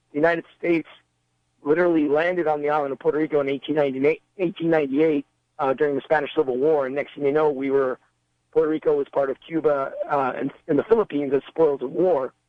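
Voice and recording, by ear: Talking at a fast pace, a man with fairly high pitch keeps his intonation fairly even in a dry, close sound with no echo.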